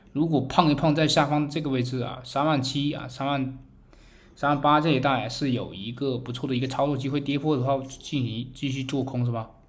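Audible room echo surrounds a man talking at a fairly quick pace and medium pitch, his intonation monotone and flat. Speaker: crypto market commentator. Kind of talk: chart analysis tutorial. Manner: many filler particles (啊).

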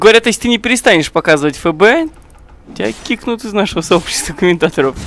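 A man's high-pitched voice at a very fast pace, lively intonation, and noticeable background noise. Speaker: esports commentator. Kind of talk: live commentary.

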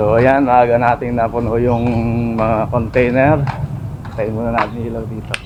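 Over noticeable background noise and audible room echo, a man talks fairly slowly at a medium pitch in a monotone, flat delivery. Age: 50s. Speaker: vlogger. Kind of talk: casual vlog narration. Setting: outdoors.

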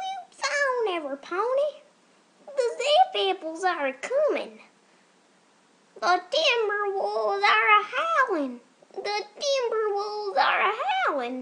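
In a put-on character voice, a female-sounding speaker goes at a fairly slow pace with an extremely high pitch and long, frequent pauses. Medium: voice reel.

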